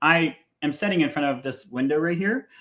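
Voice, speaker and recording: A man with an American accent speaks in an ordinary speaking voice at a fairly quick pace, with a fairly high pitch and ordinary pitch variation. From Ohio. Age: 40s. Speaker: truck driver and podcast host. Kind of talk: casual interview chat.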